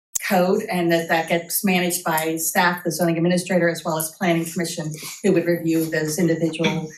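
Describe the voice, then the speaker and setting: A fairly low-pitched woman's voice amid audible room echo. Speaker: city planning staff presenter. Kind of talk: presentation to city council. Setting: council meeting. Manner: fast.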